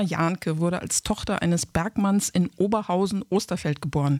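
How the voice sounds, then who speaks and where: Speech comes at a fairly brisk clip. The background is silent and the recording very clean. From Sauerland. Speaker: podcast host. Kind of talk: interview.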